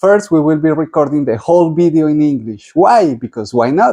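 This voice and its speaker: In a strong Spanish accent, a man speaks with a fairly high voice, a dark, mellow tone, and ordinary pitch variation, in a dry, close sound with no echo. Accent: thick Spanish. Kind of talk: interview.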